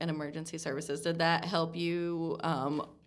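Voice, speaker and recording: Here a woman has an unremarkable speaking voice with a fairly low pitch. Her pace is moderate. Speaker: community engagement coordinator, podcast host. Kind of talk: podcast interview host.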